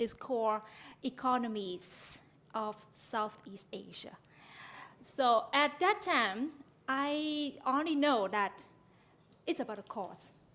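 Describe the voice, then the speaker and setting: A woman with a Vietnamese accent and a high pitch, speaking at a very slow pace, with lively intonation and long, frequent pauses. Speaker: university lecturer. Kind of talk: conference talk. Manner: halting.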